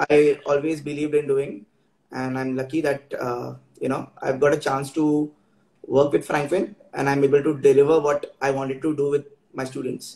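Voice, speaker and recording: The voice is somewhat breathy with a dark, mellow tone and monotone, flat intonation. It moves at a moderate pace amid audible room echo. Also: man, fairly high pitch for a man. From India. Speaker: travel and tourism trainer; tourism trainer. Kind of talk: interview. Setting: Instagram live video call. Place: home room.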